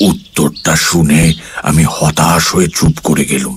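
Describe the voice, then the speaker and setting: With music in the background, a man does a raspy put-on character voice, very deep and low in pitch, fairly slow and monotone. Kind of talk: suspense radio narration. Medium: audio drama.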